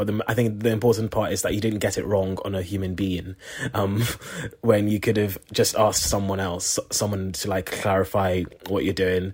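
The voice is somewhat breathy, with flat, monotone intonation. It moves at a moderate pace. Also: man, fairly low pitch for a man. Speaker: junior doctor. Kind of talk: casual chat.

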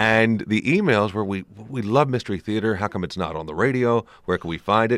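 A man speaks in a normal speaking voice at a fairly low pitch, fairly quickly, with ordinary pitch variation. The recording is very clean and dry, close with no echo and a silent background. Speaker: radio executive and interviewer. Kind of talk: interview. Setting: museum event.

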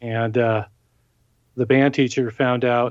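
A man's voice sits at a medium pitch, monotone and flat. He speaks at a fairly slow pace. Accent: Californian. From Southern California (South Bay, Los Angeles). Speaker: musician. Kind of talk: interview.

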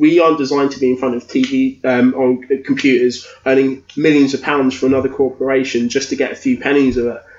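Against noticeable background noise, a man talks at medium pitch with hardly any pauses. His intonation is monotone and flat. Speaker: podcaster, guest co-host. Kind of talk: casual chat.

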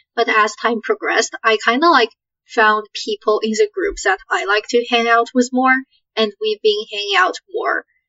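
A woman speaks at a moderate pace with an unremarkable speaking voice. Her pitch sits fairly high, and her intonation is lively. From Canada. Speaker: university student. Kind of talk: casual chat.

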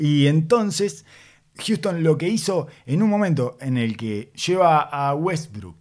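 Very slow, lively male speech at a fairly high pitch, on a very clean recording with a silent background. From Uruguay. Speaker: basketball podcast host. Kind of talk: casual chat.

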